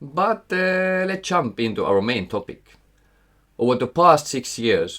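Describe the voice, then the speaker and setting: A man talks with very wide pitch swings. The recording is very clean, with a silent background. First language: Finnish. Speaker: investing educator, former portfolio manager. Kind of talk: scripted narration.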